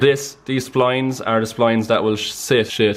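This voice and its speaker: A man with an Irish accent amid noticeable background noise. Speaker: mechanic explaining how a clutch works. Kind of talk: casual, conversational.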